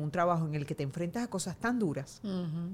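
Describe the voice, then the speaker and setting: Lively intonation colors a woman's medium-pitched voice, an ordinary speaking voice. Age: 40s. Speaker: journalist. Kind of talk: casual chat.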